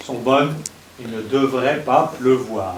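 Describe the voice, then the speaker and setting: A man at a medium pitch is heard through noticeable background noise and audible room echo. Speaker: professor and event host. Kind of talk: lecture introduction. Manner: slow.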